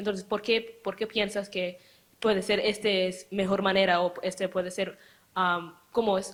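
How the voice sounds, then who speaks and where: At a fairly slow pace, a woman with a non-native accent talks in a monotone, flat delivery at a medium pitch. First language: not Spanish (speaking Spanish). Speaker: audience member. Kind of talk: audience question. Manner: halting.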